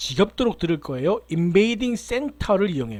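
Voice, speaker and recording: A man's high-pitched, animated voice at a fairly quick pace, with very wide pitch swings. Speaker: university lecturer. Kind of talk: lecture. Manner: fast.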